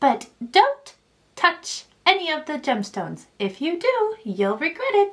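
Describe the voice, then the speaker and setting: A woman's high, put-on character voice with very wide pitch swings at a fairly slow pace. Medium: read story.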